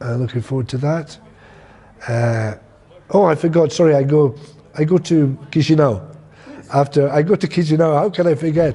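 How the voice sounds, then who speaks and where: With a Scottish accent, a man talks at a moderate pace in a fairly high pitch with lively intonation. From Scotland. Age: 60s. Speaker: theatre director. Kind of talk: interview monologue. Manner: halting, with self-corrections.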